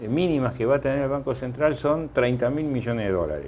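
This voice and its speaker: A man talks at a fairly quick pace with a dark, mellow tone. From Argentina, Lanús (Buenos Aires). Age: 60s. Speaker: economist, former central bank president. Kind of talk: TV interview.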